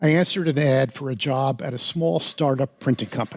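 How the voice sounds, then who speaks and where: A man speaks very fast with an American accent, his voice dry and close with no echo. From New York City suburbs, US. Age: 70s. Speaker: piano technician and author. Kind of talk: interview. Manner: halting.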